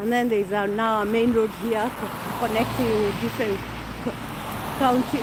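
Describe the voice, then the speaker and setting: A woman with a Kenyan accent talks at a moderate pace in a fairly high pitch, keeping her intonation fairly even. The room has an audible echo, and background noise is noticeable. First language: Kikuyu. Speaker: vlogger. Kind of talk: casual live-stream chat. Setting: outdoors walking.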